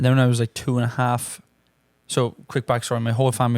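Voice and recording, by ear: Speaking fast with an Irish accent, the voice stays flat and monotone with a slightly mellow tone. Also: man.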